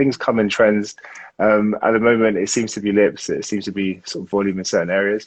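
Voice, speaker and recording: Speaking with a London accent, a man talks at a fairly quick pace in a flat monotone, his pitch fairly low. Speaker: aesthetic doctor. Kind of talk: interview answer.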